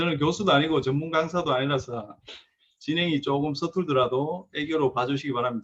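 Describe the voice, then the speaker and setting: With a strong Gyeongsang accent, a man speaks at a fairly high pitch with ordinary pitch variation. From South Korea, Gyeongsang region. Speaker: car mechanic and repair shop owner. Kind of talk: lecture.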